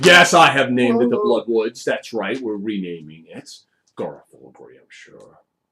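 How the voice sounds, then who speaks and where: A man with a medium pitch speaks in a put-on character voice. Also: moderate pace. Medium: actual play. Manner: gruff, blunt, short sentences.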